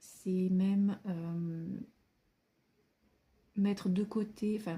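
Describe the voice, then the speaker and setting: A woman speaks at a very slow pace in a dark, mellow tone. Her voice is somewhat breathy and her intonation monotone and flat. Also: medium pitch for a woman. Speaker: tarot card reader. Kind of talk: tarot reading monologue. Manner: hesitant with many fillers.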